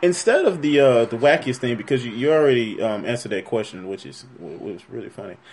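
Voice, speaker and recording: Very fast and lively in intonation, the voice swings widely in loudness over noticeable background noise. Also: man, medium pitch for a man, hardly any pauses. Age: 20s. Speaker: podcast interviewer. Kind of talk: casual interview.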